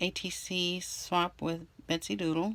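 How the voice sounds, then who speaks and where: Woman at a fairly low pitch and a very slow pace. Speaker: crafting vlogger. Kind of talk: casual craft tutorial. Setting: at home desk. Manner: halting; hesitant with fillers.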